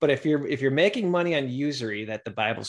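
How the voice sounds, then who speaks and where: Here a man has an unremarkable speaking voice with ordinary pitch variation. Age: 50s. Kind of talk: podcast monologue.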